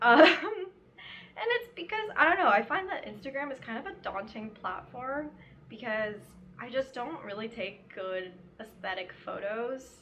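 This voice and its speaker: A woman at a moderate pace, ordinary pitch variation, noticeable background noise behind her. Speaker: crochet vlogger. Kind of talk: casual chat. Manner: casual, filler-heavy.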